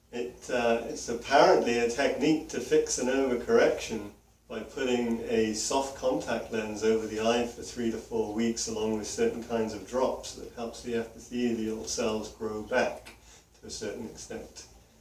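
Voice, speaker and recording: Over noticeable background noise, a man talks at a moderate pace, his loudness swinging widely. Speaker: eye surgery patient. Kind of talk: patient consultation conversation.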